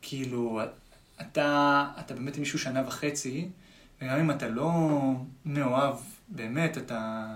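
There is audible room echo as a man speaks at a very slow pace with long, frequent pauses. His pitch is fairly high, with ordinary variation. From Israel, Tel Aviv. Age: 20s. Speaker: musician. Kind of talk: casual chat. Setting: studio.

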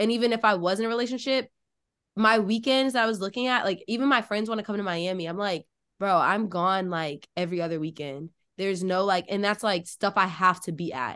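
Against a quiet background, a woman with an unremarkable speaking voice talks at a fairly quick pace with ordinary pitch variation. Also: medium pitch for a woman. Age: 20s. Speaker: law student podcast host. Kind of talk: casual chat.

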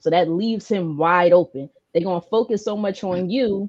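Dark and mellow in tone, the voice moves at a moderate pace with ordinary pitch variation, recorded dry and close with no echo. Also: woman. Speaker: sports show host. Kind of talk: casual sports talk show banter.

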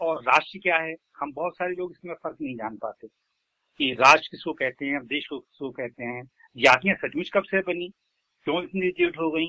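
A plain, everyday voice from a man, fairly high in pitch, with ordinary pitch variation at a moderate pace. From Uttar Pradesh, India. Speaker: lyricist and poet. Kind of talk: interview.

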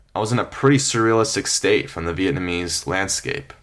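Here is a man with an unremarkable speaking voice, pitched fairly low. He moves at a fairly quick pace with lively intonation. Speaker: travel storytelling podcaster. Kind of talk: scripted narration.

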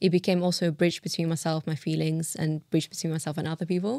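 With a London accent and monotone, flat intonation, the voice comes through on a very clean recording with a silent background and a dry, close sound with no echo. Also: woman. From Uzbekistan (Tashkent), moved to London at 11. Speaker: illustrator and cultural leader. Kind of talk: casual interview.

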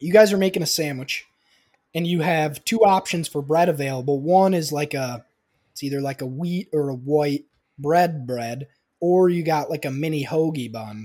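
With ordinary pitch variation, a man's voice carries a dark, mellow tone. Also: fairly high pitch for a man, moderate pace. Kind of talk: casual chat. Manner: animated.

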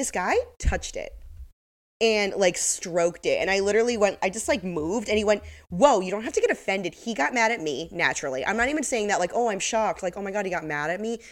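A woman with a medium pitch speaks at a very fast pace in an animated tone with lively intonation. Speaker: podcast co-host. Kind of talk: casual chat. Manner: animated, laughs often.

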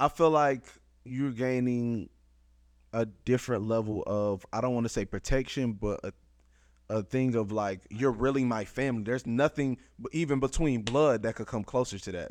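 A man with a normal speaking voice, medium pitch, moderate pace and ordinary pitch variation, over a quiet background. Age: 20s. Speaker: podcast co-host. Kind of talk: casual chat.

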